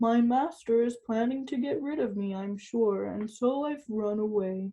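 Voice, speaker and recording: A female-sounding put-on character voice, pitched fairly high for a woman, moves at a moderate pace. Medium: read story.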